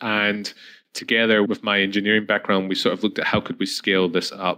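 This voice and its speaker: In a Scottish accent, a man with a fairly low pitch and a bright, sharp tone speaks at a very fast pace. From Scotland, Edinburgh. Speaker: chemical engineer and start-up CEO. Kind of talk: interview. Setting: remote call.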